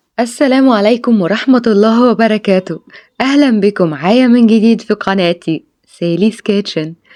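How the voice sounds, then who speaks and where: A woman's dark, mellow tone sits at a fairly high pitch, moving at a moderate pace with ordinary pitch variation and very even loudness. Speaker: cooking channel host. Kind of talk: cooking tutorial.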